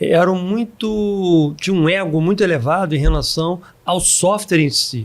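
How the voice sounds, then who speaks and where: Lively intonation at a fairly slow pace. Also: man. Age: 60s. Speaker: software company founder. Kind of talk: podcast interview. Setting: recorded at a live event.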